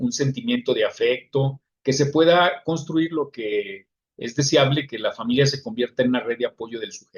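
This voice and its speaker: A man talks at a moderate pace with a Mexican accent. His voice is somewhat breathy and fairly high, with ordinary pitch variation. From Mexico. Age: 60s. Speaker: psychologist. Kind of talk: lecture. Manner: halting.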